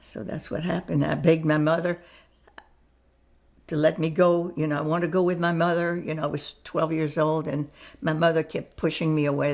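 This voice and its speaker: A woman speaks in a very deep, low voice. Vocal fry runs through her speech. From France. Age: 80s+. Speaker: Holocaust survivor. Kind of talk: interview answer.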